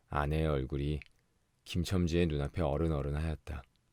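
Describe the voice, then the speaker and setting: A man speaks in a calm, soothing tone that is dark and mellow. The recording is very clean, with a silent background. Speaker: audiobook narrator. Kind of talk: audiobook reading of a short story for sleep.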